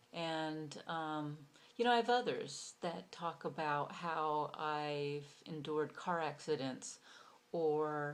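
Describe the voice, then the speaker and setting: Very deep and low in pitch, a woman speaks at a very slow pace with ordinary pitch variation. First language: Hungarian. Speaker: university instructor. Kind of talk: course self-introduction video. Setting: recorded video for online class. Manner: casual with frequent fillers.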